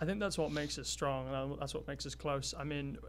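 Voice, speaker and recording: A man with a Welsh accent, audible room echo, and music in the background. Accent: Welsh, still noticeable. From Wales. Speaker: college athlete. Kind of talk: interview. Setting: studio. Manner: halting, many fillers.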